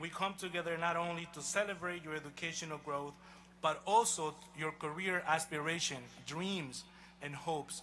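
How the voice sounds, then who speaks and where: A man talks with a Honduran accent at a high pitch. Audible room echo surrounds his voice. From Honduras. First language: Spanish. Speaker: college president. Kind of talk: commencement speech. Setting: outdoor stadium ceremony with audience. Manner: formal.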